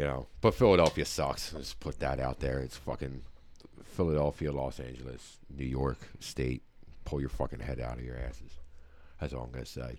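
A man with a very deep, low voice and vocal fry speaks at a moderate pace. His intonation stays fairly even. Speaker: podcast host. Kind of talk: casual chat. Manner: loud, eccentric, profane.

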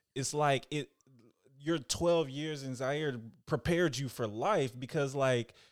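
On a very clean recording with a silent background, a man with an unremarkable speaking voice and an American accent talks at a moderate pace with fairly even intonation. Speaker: podcast host. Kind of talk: interview.

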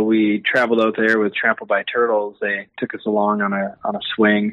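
A man with an Upper Midwest accent. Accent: Upper Midwest (Minnesota). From Minnesota, Twin Cities suburbs. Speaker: string band musician. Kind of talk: casual interview chat.

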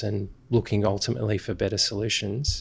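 With an Australian accent, the speaker talks at a moderate pace in a flat monotone marked by vocal fry. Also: man. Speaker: graphic designer, creative director. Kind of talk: casual interview.

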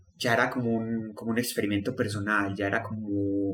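A fairly low-pitched man talks at a moderate pace in a monotone, flat intonation. Noticeable background noise can be heard. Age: 20s. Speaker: student sharing depression story. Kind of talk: personal testimony.

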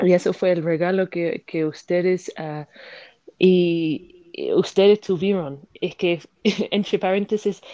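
Against a quiet background, a woman talks at a medium pitch with a dark, mellow tone and ordinary pitch variation. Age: 20s. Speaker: podcast co-host. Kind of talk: casual interview.

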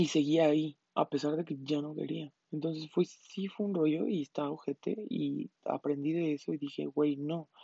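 The speaker talks with a Mexican accent at a moderate pace, with fairly even intonation and hardly any pauses. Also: woman, very deep, low pitch for a woman. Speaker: podcast host. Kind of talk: casual monologue. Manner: casual, slangy chatter.

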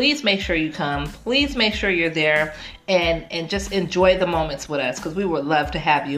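Over noticeable background noise, a woman with a fairly low pitch speaks at a moderate pace in an animated tone. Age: 40s. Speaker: podcast host. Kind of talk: casual interview chat.

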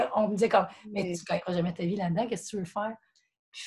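A woman speaks at a very fast pace, her voice somewhat breathy. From Quebec, Montreal area. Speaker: CrossFit gym member. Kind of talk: casual chat.

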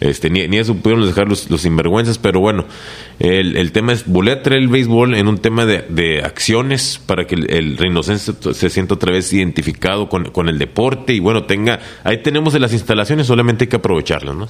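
Noticeable background noise sits behind a man with a fairly low pitch. He talks at a fairly quick pace with lively intonation. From Reynosa, Tamaulipas, Mexico. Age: 30s. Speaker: mayoral candidate. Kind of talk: interview. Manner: halting.

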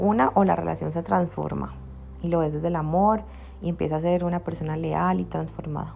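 The woman talks at a fairly quick pace. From Colombia, Cali. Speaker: spiritual teacher and podcaster. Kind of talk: Q&A podcast monologue.

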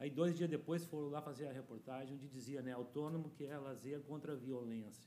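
A man speaks in a normal speaking voice at a fairly high pitch. His pace is fairly quick, and his pitch varies in an ordinary way. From Porto Alegre, southern Brazil. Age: 50s. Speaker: community activist. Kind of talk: interview.

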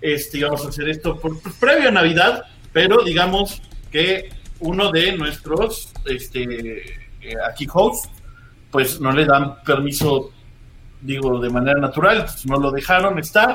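Lively intonation and a Mexican accent come through over noticeable background noise. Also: man, fairly high pitch for a man, fairly slow pace. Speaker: podcast host and comedian. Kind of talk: casual chat. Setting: live stream.

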